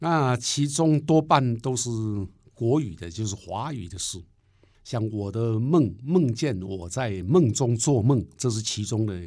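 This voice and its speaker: A man with a Taiwanese accent, medium pitch, dark and mellow tone, lively intonation, big swings in loudness and a very slow pace, on a very clean recording with a silent background. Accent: Taiwanese Mandarin. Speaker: poet and professor. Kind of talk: interview conversation.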